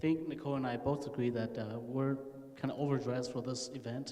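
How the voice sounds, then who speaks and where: Someone with an American accent talks at a fairly quick pace in a monotone, flat delivery, with audible room echo and noticeable background noise. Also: man. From rural California, US. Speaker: panelist. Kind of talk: panel discussion.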